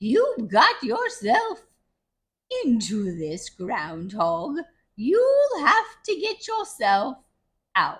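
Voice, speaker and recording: A female-sounding put-on character voice, high in pitch, moves at a very slow pace. Long, frequent pauses break up the speech. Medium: read story.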